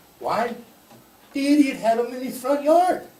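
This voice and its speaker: A man's lively intonation, heard with audible room echo and music in the background. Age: 60s. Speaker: public commenter at city forum. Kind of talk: public comment at community meeting. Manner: impassioned.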